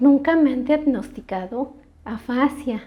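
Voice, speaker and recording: Soft-spoken and at a very slow pace, a woman talks in a high pitch with a dark, mellow tone. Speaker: stroke survivor, channel host. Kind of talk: testimony, answering questions.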